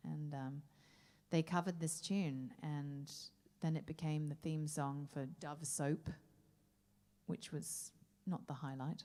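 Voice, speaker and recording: Her pitch is very deep and low, with a dark, mellow tone. The woman speaks at a very slow pace with long, frequent pauses. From Australia. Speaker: jazz singer. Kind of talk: stage banter between songs. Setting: stage with audience. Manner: animated.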